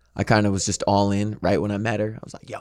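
A man with an American accent and an unremarkable speaking voice is heard on a very clean recording with a silent background. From US Midwest, St. Louis, Missouri. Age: 20s. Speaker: aspiring actor, dating show contestant. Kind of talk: casual chat. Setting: studio.

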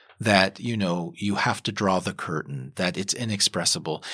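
A man with an American accent speaks at a moderate pace. The recording is very clean, with a silent background. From US South, Kentucky. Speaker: novelist. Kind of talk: interview.

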